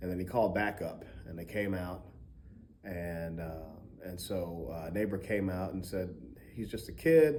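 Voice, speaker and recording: In a room with audible echo, a man with an American accent and a very deep, low pitch speaks in a dark, mellow tone at a moderate pace, with ordinary pitch variation and long, frequent pauses. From Baltimore, Maryland. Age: 40s. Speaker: music professor. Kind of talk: testimony. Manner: halting, many fillers.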